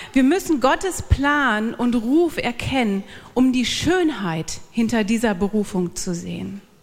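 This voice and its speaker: Very wide pitch swings from a woman, with noticeable noise behind her. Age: 40s. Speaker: church speaker, pastor's wife. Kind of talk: church talk.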